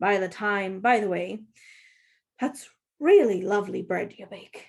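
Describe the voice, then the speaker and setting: A woman puts on a raspy character voice at a medium pitch and moderate pace. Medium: read story. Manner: flustered.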